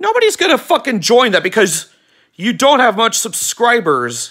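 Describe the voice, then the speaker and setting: A man shouts in an angry tone at a high pitch and moderate pace, his tone bright and sharp against a quiet background. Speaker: YouTube vlogger. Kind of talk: angry rant aimed at a banned user, mixed with a casual channel announcement. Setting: home video recording, weather radio on wall. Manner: angry, emphatic, sarcastic, scolding with stressed words and shouted lines; rambling, repeats words and restarts sentences. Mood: annoyed, ranting. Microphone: phone near.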